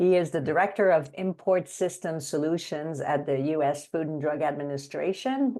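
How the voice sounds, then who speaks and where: Speaking at a moderate pace with a French accent, a woman has a very deep, low pitch and a dark, mellow tone. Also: ordinary pitch variation. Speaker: webinar moderator and consultant. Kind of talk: webinar introduction.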